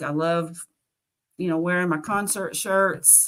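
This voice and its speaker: This voice moves at a moderate pace with a Southern US accent. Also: woman. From US South, Nashville, Tennessee. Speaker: carnivore diet content creator. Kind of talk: interview. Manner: animated.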